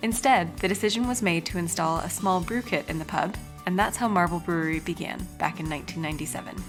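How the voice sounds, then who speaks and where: With music in the background, a woman with an American accent speaks at a very fast pace, at a fairly low pitch with ordinary pitch variation. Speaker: podcast host. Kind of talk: podcast intro narration.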